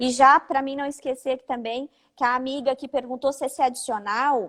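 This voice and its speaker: The woman's voice sits at a high pitch. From Santa Catarina, Brazil (Orleans). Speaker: lawyer, live-stream host. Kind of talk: live-stream legal discussion. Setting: live video stream from her office.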